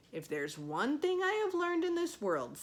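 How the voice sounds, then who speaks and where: A high-pitched, put-on character voice. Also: moderate pace. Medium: read story. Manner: dramatic.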